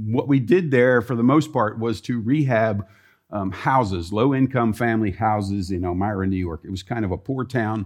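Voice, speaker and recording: A man with an American accent uses an ordinary speaking voice. His pitch is medium with ordinary variation, and his pace is moderate. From US Mid-Atlantic (Columbia, Maryland). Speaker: mission finance director, former IT professional. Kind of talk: chapel talk. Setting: college chapel with audience.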